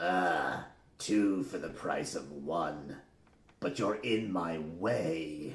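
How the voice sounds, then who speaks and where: A put-on character voice growls in a menacing tone at a very slow pace. Audible echo surrounds it. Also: man, very deep, low pitch for a man. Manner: snarling, menacing.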